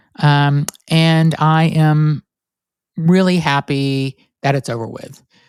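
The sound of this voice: A man's nasal voice has a clear, smooth tone, recorded with a dry, close sound and no echo.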